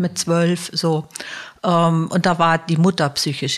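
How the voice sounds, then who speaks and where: A woman with a fairly low voice talks at a very slow pace. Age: 60s. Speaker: social worker, head of a support service. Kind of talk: interview.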